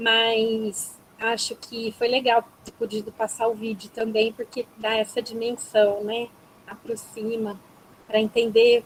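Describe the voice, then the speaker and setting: A woman talks at a very slow pace and fairly high pitch in a flat monotone. Her loudness swings widely. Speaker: psychologist. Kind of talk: webinar closing remarks. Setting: video call.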